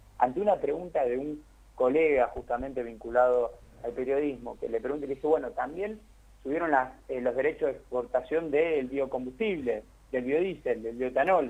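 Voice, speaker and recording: A man speaks in an ordinary speaking voice, his pitch fairly high and varying in an ordinary way, at a moderate pace. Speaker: economist. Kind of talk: interview.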